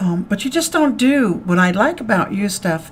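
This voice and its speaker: A woman speaks in a fairly high, somewhat breathy voice. Her pitch swings very widely. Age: 60s. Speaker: radio host. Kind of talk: radio interview. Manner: animated.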